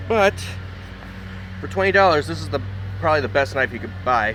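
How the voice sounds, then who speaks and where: A man is shouting loudly with very wide pitch swings. Noticeable background noise sits behind him. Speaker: knife review youtuber. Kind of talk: casual product review. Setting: outdoors. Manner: loud, yelling over noise.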